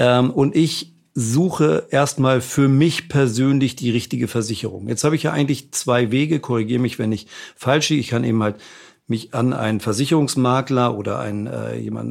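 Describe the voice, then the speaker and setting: With a plain, everyday voice, a man speaks at a fairly quick pace, at medium pitch with ordinary pitch variation. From Hamburg, northern Germany. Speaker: podcast host and publisher. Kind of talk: interview. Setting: on Mallorca.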